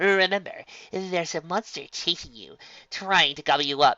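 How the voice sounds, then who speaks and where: The speaker uses a put-on character voice. The pitch sits in the middle, and the pace is moderate. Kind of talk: stage showman proclaiming. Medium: read story. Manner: theatrical, showy.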